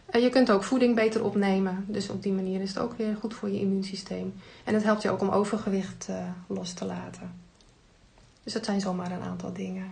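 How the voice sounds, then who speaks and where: There is audible room echo around a woman's voice. She speaks at a fairly quick pace. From Netherlands, North Holland (Heemskerk). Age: 50s. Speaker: tea product distributor. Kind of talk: casual interview. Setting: studio, face to face at table.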